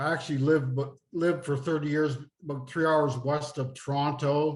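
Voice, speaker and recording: A man with an Eastern Canadian accent speaks at a moderate pace with fairly high pitch. His somewhat breathy voice holds a monotone, flat intonation. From Nova Scotia, Canada. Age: 60s. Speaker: retired finance executive and author. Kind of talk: interview.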